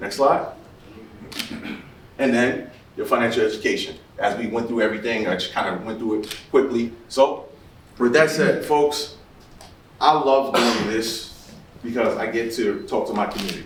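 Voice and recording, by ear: Strong room echo surrounds a man speaking at a moderate pace, his medium pitch showing ordinary pitch variation.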